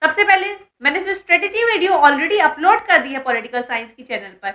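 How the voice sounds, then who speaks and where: A woman's raised, projected voice, bright and sharp in tone, sits at an extremely high pitch with very wide pitch swings. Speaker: online educator and exam mentor. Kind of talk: educational vlog talking to students. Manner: casual, chatty.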